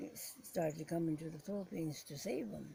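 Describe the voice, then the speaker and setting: Somewhat breathy, a woman speaks at a fairly low pitch. Her pace is moderate and her pitch varies in an ordinary way. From Philippines. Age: 80s+. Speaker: war survivor, former prisoner of war. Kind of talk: interview answer.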